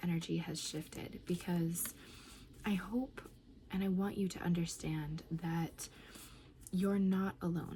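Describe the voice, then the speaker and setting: Soft-spoken and somewhat breathy, a woman talks at a fairly slow pace in a fairly low pitch, her dark, mellow tone held to fairly even intonation. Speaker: oracle card reader. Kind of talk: channeled card reading.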